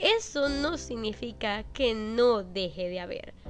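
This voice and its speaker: Music plays in the background as a woman speaks. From Venezuela. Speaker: YouTuber. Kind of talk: personal story narration (draw my life).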